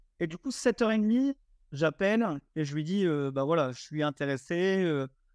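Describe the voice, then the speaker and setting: Against a quiet background, a man with a high pitch talks in an animated tone with lively intonation. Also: moderate pace. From eastern France. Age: 20s. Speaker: short-term rental investor. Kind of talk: podcast interview. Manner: animated storytelling.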